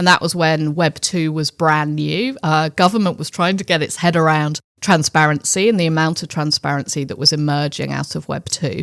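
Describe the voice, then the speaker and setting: A woman's very deep, low voice with a British accent, moderate in pace, ordinary in pitch variation, hardly any pauses, dry and close with no echo. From England (London). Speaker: finance executive. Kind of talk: interview.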